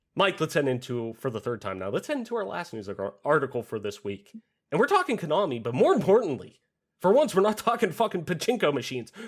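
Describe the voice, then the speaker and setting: Talking at a very fast pace, a man uses an animated tone with very wide pitch swings and vocal fry. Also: fairly high pitch for a man. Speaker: gaming podcast host. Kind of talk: casual chat. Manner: loud.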